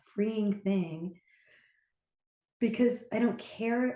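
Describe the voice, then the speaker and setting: Her voice fairly high in pitch with ordinary pitch variation, a woman speaks in a dark, mellow, somewhat breathy tone. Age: 60s. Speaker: teacher and trainer. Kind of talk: casual chat.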